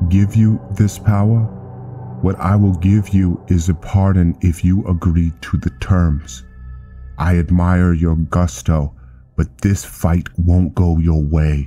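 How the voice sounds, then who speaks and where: Clear music plays behind a man using a put-on character voice. He speaks fairly slowly at a very deep, low pitch. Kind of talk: solemn fantasy roleplay. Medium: machinima. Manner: formal, authoritative, condescending.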